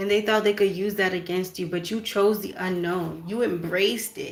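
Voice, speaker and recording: At a moderate pace, a woman talks in a normal speaking voice at medium pitch. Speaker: spiritual card reader. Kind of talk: oracle card reading.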